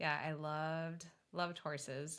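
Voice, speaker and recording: Bright, sharp female voice, fairly low in pitch, with fairly even intonation. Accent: Minnesotan. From West Texas (Midland). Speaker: cabin rental owner. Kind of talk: interview.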